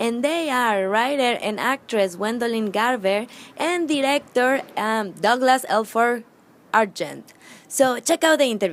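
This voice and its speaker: With a non-native accent, the speaker talks at a fairly slow pace with lively intonation. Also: woman, fairly high pitch for a woman. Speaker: interviewer. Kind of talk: video intro.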